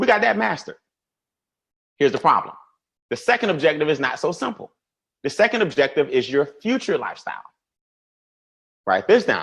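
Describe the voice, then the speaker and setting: Fairly quick speech from a man with an American accent, high in pitch, with very wide pitch swings and long, frequent pauses. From US South. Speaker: financial educator. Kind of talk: webinar presentation. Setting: online webinar. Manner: fast; animated.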